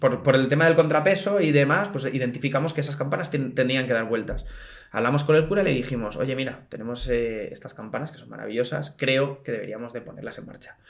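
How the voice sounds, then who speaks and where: Talking at a very fast pace, a man speaks at medium pitch with big swings in loudness. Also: ordinary pitch variation. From Spain, Madrid. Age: 20s. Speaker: bell ringer, association president. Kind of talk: casual interview chat. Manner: animated.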